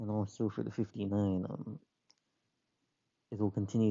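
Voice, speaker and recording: Keeping a fairly low pitch and fairly even intonation, a man talks at a moderate pace. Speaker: transit enthusiast explaining bus schedule changes. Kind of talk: casual explainer talk. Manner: hesitant, many filler words.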